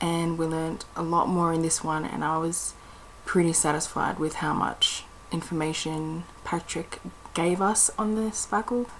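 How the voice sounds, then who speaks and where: A woman speaks with fairly even intonation. There is noticeable background noise. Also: fairly low pitch for a woman. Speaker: book reviewer. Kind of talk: casual video review. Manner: quiet, not talking loud.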